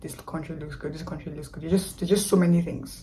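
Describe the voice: A woman's low-pitched voice with a dark, mellow tone, a fast pace, fairly even intonation and audible room echo.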